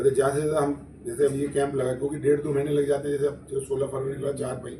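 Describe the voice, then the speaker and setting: With noticeable background noise and audible room echo, a man with a fairly high voice talks at a moderate pace in a monotone, flat intonation. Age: 70s. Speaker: charity volunteer. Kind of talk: press conference.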